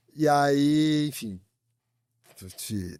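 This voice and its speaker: A man with a strong São Paulo accent talks at a fairly high pitch with lively intonation. The recording is very clean, with a silent background and a dry, close sound with no echo. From Brazil, São Paulo. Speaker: growth and AI specialist. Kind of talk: podcast interview. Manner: casual, colloquial.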